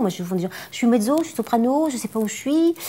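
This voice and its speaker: This woman's voice sits fairly high and moves in very wide pitch swings. She talks at a fairly quick pace. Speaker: singer and vocal coach. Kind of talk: interview. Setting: by a fireplace. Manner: hesitant, many repetitions.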